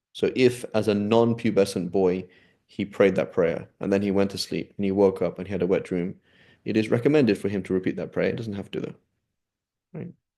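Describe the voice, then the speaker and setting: A man's fairly low voice with a dark, mellow tone, at a moderate pace over a quiet background. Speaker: Islamic studies teacher. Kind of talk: lecture. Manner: hesitant, many fillers.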